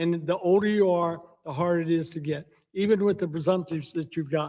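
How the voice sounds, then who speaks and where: With an American accent, a man talks at a fairly quick pace. His pitch is high, and his intonation is fairly even. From US South, Alabama. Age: 70s. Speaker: war veteran. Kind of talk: testimony.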